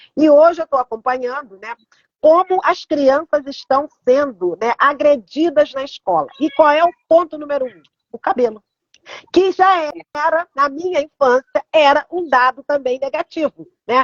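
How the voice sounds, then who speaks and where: Speaking fairly slowly, the woman uses a high pitch. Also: ordinary pitch variation. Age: 70s. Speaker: art therapist. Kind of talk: live stream conversation.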